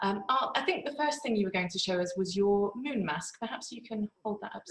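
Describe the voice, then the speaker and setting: Speaking at a fairly quick pace, a woman uses an ordinary speaking voice of medium pitch with lively intonation. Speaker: museum curator. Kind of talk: interviewer.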